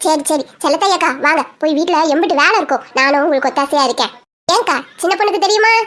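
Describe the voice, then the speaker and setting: A cartoonish character voice keeps a moderate pace and very even loudness. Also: woman, extremely high pitch for a woman. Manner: lively, chatty.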